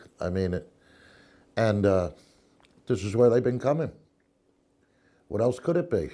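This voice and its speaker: A man talks at a fairly low pitch as music plays behind him. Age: 60s. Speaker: eyewitness interviewee. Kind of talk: interview testimony. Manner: halting, with false starts.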